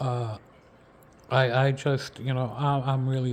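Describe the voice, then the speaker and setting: This man's voice is medium in pitch and somewhat breathy. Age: 60s. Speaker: football draft analyst. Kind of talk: casual video commentary. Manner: halting, many fillers and repeats.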